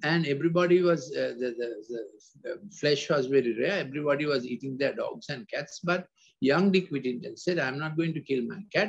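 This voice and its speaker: At a moderate pace, a somewhat breathy voice speaks with ordinary pitch variation. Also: man. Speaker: preacher or talk giver. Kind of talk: sermon. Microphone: video call.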